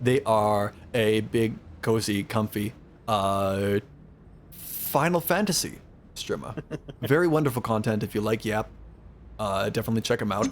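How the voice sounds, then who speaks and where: At a moderate pace, a man with a fairly low pitch speaks with ordinary pitch variation and long, frequent pauses. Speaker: streamer. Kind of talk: casual chat. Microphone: studio condenser microphone.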